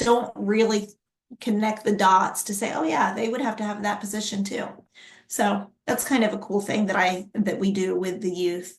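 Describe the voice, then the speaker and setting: Her voice is medium-pitched and somewhat breathy, as the woman speaks in a monotone, flat intonation. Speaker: workforce development speaker. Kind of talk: presentation with Q&A.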